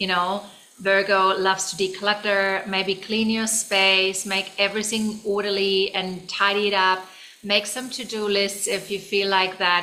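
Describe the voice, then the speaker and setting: This woman has a German accent and a medium pitch. Her intonation is monotone and flat, over noticeable background noise. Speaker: tarot reader. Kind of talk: tarot reading. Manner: casual, with fillers and restarts.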